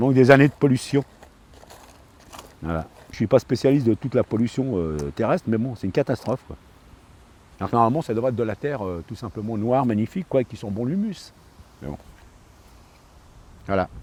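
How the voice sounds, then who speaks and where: Fairly quick speech with lively intonation, big swings in loudness and long, frequent pauses, in a dry, close sound with no echo. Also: man, medium pitch for a man. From France, Paris suburbs (Seine-Saint-Denis). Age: 60s. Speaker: park ranger. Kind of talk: documentary interview. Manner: hesitant, many fillers.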